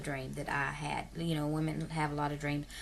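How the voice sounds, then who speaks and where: Audible room echo surrounds a woman speaking with a rural Southern US accent. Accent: self-described hillbilly, rural Southern US. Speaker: adoption vlogger. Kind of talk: casual vlog monologue. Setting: at home in bed, video camera.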